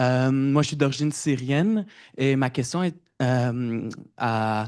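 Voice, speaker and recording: Against a quiet background, a man speaks at a very slow pace with medium pitch and ordinary pitch variation. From Quebec, of Syrian origin. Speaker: audience member asking a question. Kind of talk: question from the audience. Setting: public event with audience.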